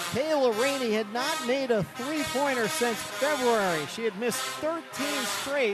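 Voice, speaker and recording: A man talks at an extremely high pitch with hardly any pauses. Music plays in the background. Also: ordinary pitch variation, fairly slow pace. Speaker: sports radio play-by-play announcer. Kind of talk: women's college basketball radio play-by-play, close late-game.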